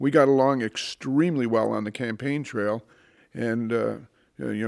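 On a very clean recording with a silent background, a man with an Ohio accent speaks at medium pitch and a moderate pace, with ordinary pitch variation. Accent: Midwestern American (Ohio). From Northeast Ohio, Cleveland area. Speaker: former judge and political candidate. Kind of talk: interview.

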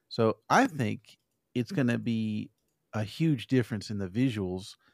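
A man with an American accent speaks in an ordinary speaking voice, medium in pitch with ordinary pitch variation, at a moderate pace. The sound is dry and close with no echo, and the recording is very clean with a silent background. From Arizona. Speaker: podcast co-host. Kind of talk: casual chat.

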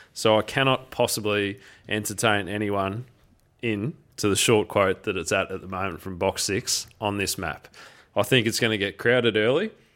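A man with an Australian accent speaks at a moderate pace in a fairly low pitch, his intonation fairly even, on a very clean recording with a silent background. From Geelong, Victoria, Australia. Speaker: greyhound racing podcast co-host. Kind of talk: casual chat.

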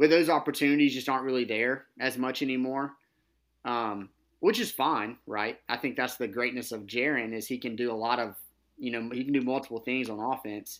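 In an unremarkable speaking voice, a man with a medium pitch talks at a fairly quick pace with fairly even intonation, the recording very clean with a silent background. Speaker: podcast co-host. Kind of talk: casual sports podcast chat.

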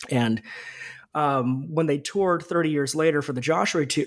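A man with a normal speaking voice and a fairly high pitch talks at a moderate pace with ordinary pitch variation, in a very clean recording with a silent background. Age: 30s. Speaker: author. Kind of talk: interview.

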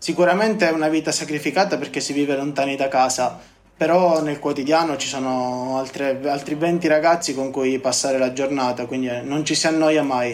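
Fairly quick and fairly even in intonation, a man talks at a fairly high pitch. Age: 20s. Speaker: construction engineer. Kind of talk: interview testimony. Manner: halting, with frequent word repetitions.

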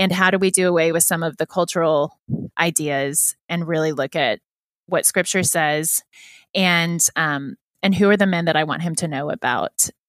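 At a moderate pace, a woman speaks with an unremarkable speaking voice, fairly low in pitch and fairly even in intonation. The recording is very clean with a silent background and a dry, close sound with no echo. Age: 30s. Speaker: children's book author. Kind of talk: interview.

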